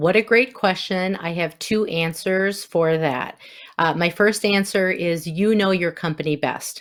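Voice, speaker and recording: A woman speaks fairly slowly in a Wisconsin accent. Her pitch sits at a medium level with ordinary variation. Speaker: inclusion consultant and former school counselor. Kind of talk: podcast interview.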